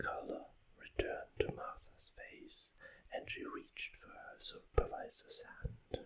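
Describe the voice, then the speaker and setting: Over noticeable background noise, a man speaks at an extremely high pitch and a very slow pace. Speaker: author reading own book. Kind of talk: ASMR audiobook reading. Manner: whispered, soft.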